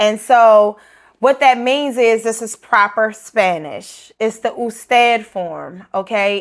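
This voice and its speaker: In a very clean recording with a silent background, a woman with a Baltimore accent talks at a very slow pace, her fairly high pitch in fairly even intonation. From Baltimore, US.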